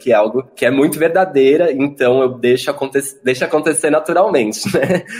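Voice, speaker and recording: With a fairly high pitch for a man, he talks at a moderate pace. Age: 20s. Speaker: drag performer. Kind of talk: casual chat. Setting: video call. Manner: animated.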